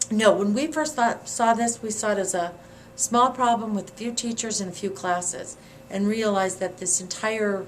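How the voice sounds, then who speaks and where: Noticeable background noise sits behind a woman with a fairly high pitch. She speaks at a moderate pace with ordinary pitch variation. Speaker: former community organizer. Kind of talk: interview answer.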